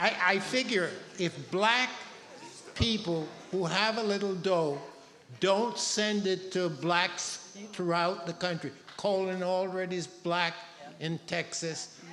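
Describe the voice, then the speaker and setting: A man speaks at a very slow pace in a high pitch, with long, frequent pauses, fairly even intonation, audible room echo and noticeable background noise. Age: 80s+. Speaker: audience member. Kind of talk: public comment.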